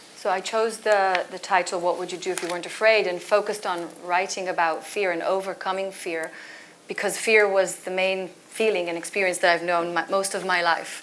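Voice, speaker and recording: With a medium pitch, a woman talks at a fairly quick pace in a monotone, flat intonation. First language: not English. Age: 40s. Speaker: author and culture consultant. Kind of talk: panel discussion. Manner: halting.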